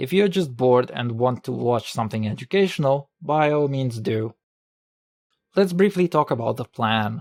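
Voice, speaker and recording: With a non-native accent and lively intonation, a man talks at a medium pitch in a dry, close sound with no echo on a very clean recording over a silent background. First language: not English. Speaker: medical student, educational video maker. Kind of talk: educational video narration.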